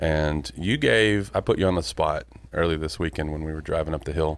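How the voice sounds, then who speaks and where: This man's voice is very deep and low, with vocal fry. He talks fairly quickly with ordinary pitch variation. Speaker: podcast host. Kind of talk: casual interview chat. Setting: in person, recording in a room.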